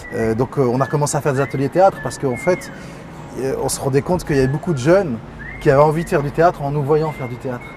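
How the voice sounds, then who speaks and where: Over music in the background, a man with a fairly high pitch talks very fast with ordinary pitch variation. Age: 30s. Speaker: artistic director of a cultural centre. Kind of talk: interview. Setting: studio with cameras.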